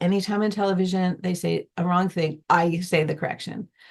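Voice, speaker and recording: This woman's medium-pitched voice is somewhat breathy, with fairly even intonation. She moves at a fairly quick pace. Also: hardly any pauses. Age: 60s. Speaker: musician, gardener, former teacher. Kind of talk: interview answer.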